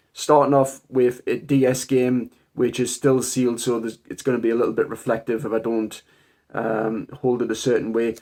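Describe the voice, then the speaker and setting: A man's dark, mellow voice in a strong Geordie accent, medium in pitch, at a moderate pace with monotone, flat intonation. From northern England, Newcastle area. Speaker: game collector YouTuber. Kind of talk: casual collection showcase.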